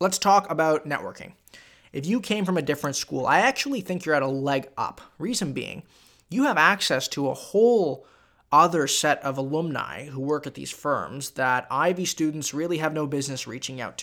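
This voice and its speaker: A man's bright, sharp, animated voice, fairly high in pitch with ordinary pitch variation, in a very clean recording with a silent background. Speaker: business student. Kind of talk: monologue with student advice. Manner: fast.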